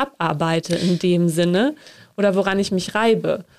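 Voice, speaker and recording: In a very clean recording with a silent background, a woman speaks at a medium pitch with an unremarkable speaking voice and ordinary pitch variation. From northern Germany. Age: 30s. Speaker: podcast host, theology trainee. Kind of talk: interview.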